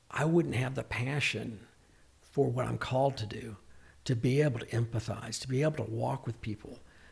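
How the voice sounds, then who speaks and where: A man with an American accent speaks at medium pitch and a moderate pace. His pitch varies in an ordinary way, and vocal fry is present. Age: 60s. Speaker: psychiatric mental health nurse practitioner. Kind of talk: podcast interview.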